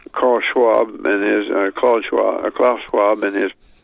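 Clear background noise can be heard throughout. Over it, a man talks at a middling tempo. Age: 80s+. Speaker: author on Bible prophecy. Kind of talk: radio interview.

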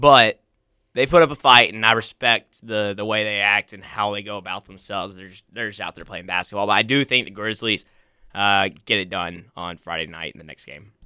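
A man with a normal speaking voice talks in a fairly low pitch with ordinary pitch variation and big swings in loudness. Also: fairly quick pace. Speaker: college student fill-in co-host. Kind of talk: casual sports chat.

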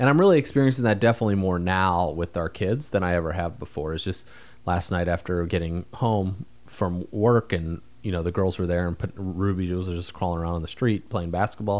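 A man talks at a fairly quick pace in a very deep, low pitch with ordinary pitch variation, on a very clean recording with a silent background. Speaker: podcast co-host, entrepreneur. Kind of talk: casual chat. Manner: informal, loose grammar.

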